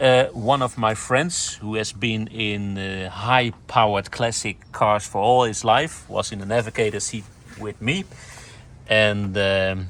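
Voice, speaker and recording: The speaker is a man with a fairly low pitch. He talks at a very slow pace. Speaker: car enthusiast vlogger. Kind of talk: walkaround car tutorial. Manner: halting, many fillers; enthusiastic.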